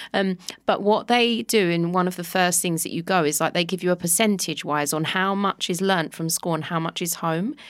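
A woman's fairly low voice in a London accent, with hardly any pauses. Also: ordinary pitch variation, moderate pace. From London (Walthamstow). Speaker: Pilates instructor and podcaster. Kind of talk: casual chat. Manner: animated, laughs often.

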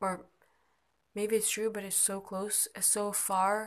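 At a fairly slow pace, a woman speaks in a medium pitch. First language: not English. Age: 20s. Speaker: amateur podcaster. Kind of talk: personal monologue. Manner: halting.

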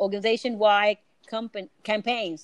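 The voice moves at a moderate pace. The sound is dry and close with no echo, over a quiet background. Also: woman. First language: Spanish. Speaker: podcast host. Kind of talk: casual interview chat.

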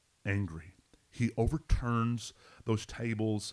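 Very slowly, a man speaks in a Southern US accent at a fairly low pitch. The recording is very clean, with a silent background. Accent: Southern US, noticeable twang. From Arkansas. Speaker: pastor. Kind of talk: Bible study discussion, podcast.

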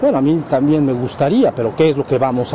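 The man's fairly quick speech comes through noticeable background noise. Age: 50s. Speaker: spiritual teacher. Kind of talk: spiritual lecture to students. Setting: ashram with live audience, filmed.

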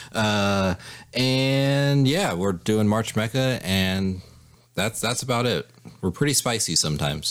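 A man with a plain, everyday voice speaks at a fairly low pitch and a fairly slow pace. His intonation is lively while his loudness stays very even. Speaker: anime podcast guest. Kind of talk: casual chat.

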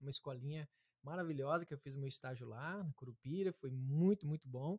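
Recorded dry and close with no echo, a man in a plain, everyday voice speaks fairly quickly with ordinary pitch variation. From interior of Paraná, Brazil. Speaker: therapist. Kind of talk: interview, explanatory talk.

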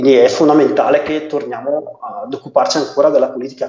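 At a moderate pace, a man is talking. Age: 30s. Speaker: local party coordinator. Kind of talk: interview. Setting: video call. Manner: halting, many fillers and restarts.

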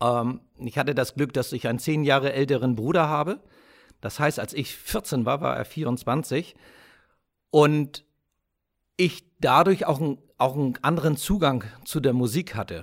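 A man talks at a fairly slow pace, with long, frequent pauses, fairly high pitch and ordinary pitch variation. The recording is very clean and the background silent. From Germany. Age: 50s. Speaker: podcast host. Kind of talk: personal storytelling monologue.

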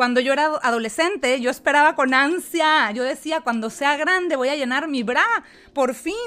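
A raised, projected voice with a bright, sharp tone comes at a moderate pace with ordinary pitch variation. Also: woman, high pitch for a woman. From Mexico. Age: 40s. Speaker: podcast host and life coach. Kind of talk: personal testimony monologue.

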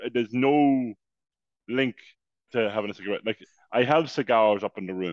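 A man talks with an Irish accent. His speech has long, frequent pauses. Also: medium pitch for a man, ordinary pitch variation, moderate pace. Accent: Irish (Louth). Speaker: podcast co-host. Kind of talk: casual chat.

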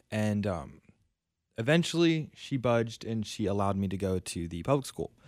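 An ordinary speaking voice: a man with an American accent, fairly low pitch, lively intonation and moderate pace, on a very clean recording with a silent background. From US South, South Florida. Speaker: Bible college student. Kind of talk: personal testimony. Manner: casual, with fillers.

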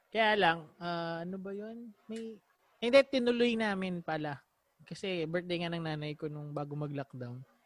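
A man's high voice at a moderate pace, with lively intonation and big swings in loudness. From Batangas, Philippines. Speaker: podcast host. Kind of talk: casual chat.

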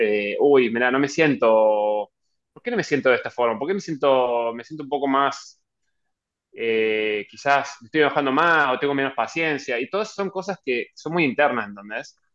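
This man speaks in a Rioplatense accent at a moderate pace, his pitch fairly high. His intonation is lively and his loudness swings a lot. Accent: Argentine Rioplatense Spanish. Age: 30s. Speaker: professional golfer. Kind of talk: interview. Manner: halting, frequent repetitions.

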